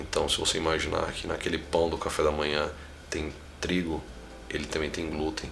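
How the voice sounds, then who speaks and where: There is noticeable background noise and audible room echo. Through it, a man speaks at a very deep, low pitch. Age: 30s. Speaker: founder of a patient advocacy movement. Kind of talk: interview.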